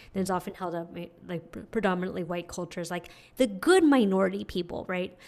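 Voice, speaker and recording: Here a woman with an American accent and a normal speaking voice talks at a fairly quick pace, medium in pitch with ordinary pitch variation. The recording is very clean, with a silent background. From US West Coast, San Francisco. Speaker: nonprofit fundraising consultant. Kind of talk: interview.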